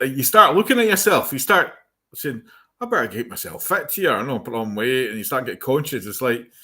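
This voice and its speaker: On a very clean recording with a silent background, a man with a bright, sharp tone speaks at a fairly quick pace, his pitch swinging very widely and his loudness rising and falling in big swings. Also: medium pitch for a man. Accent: Scottish Highland. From Scotland, Fort William. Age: 50s. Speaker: chat show host. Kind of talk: casual chat.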